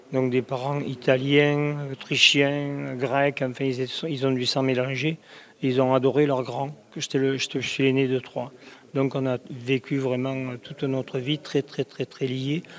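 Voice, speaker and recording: Against noticeable background noise, a man talks fairly slowly at a medium pitch with monotone, flat intonation. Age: 70s. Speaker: clairvoyant. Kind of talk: interview. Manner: halting.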